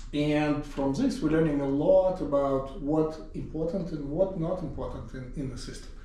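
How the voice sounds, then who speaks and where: A man with an Eastern European accent speaks at a moderate pace with hardly any pauses, his pitch fairly high with ordinary variation. Audible room echo and noticeable background noise fill the recording. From Siberia, Russia. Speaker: professor and department chair. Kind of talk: casual interview.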